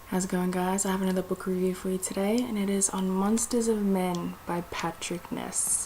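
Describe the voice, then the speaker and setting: The speaker talks at a moderate pace in a flat, monotone delivery, with hardly any pauses. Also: woman, medium pitch for a woman. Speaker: book reviewer. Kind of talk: casual video review. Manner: quiet, not talking loud.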